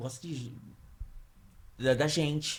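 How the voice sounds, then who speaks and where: The voice is somewhat breathy. Its intonation is fairly even. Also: man. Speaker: podcast host. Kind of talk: casual interview.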